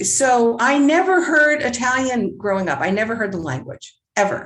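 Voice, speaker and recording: A woman with a New Jersey accent at a moderate pace, her pitch swinging very widely. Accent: New Jersey American. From US Northeast, rural New Jersey. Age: 70s. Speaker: author and playwright. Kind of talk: interview.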